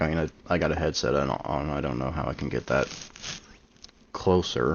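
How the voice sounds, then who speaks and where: Quiet and full of vocal fry, a man with a very deep, low pitch talks at a moderate pace. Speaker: storyteller streamer. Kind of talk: live stream setup chat. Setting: live stream.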